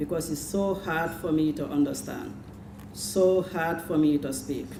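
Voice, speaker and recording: Heard with audible room echo and noticeable background noise, a woman speaks fairly slowly in a very deep, low voice with ordinary pitch variation. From Gambia. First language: Jola. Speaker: adult literacy student. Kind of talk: prepared speech.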